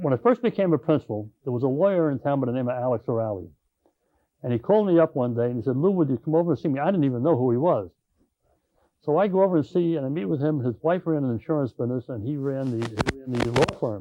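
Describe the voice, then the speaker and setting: With a Long Island accent, a man speaks very fast with lively intonation. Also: medium pitch for a man. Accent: Long Island New York. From Long Island, New York (Patchogue). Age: 70s. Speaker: retired school principal. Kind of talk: oral history interview. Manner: halting, many fillers.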